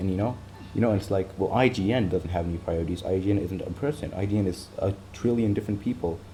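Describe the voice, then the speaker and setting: Mumbling at a fairly quick pace, a man speaks at a fairly low pitch with ordinary pitch variation. Music plays in the background. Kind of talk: casual talk to camera. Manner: rambling, hesitant, many fillers.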